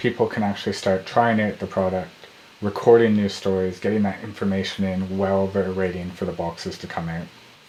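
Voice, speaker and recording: Noticeable background noise behind a man's very deep, low voice at a moderate pace. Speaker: startup founder vlogger. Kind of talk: video update.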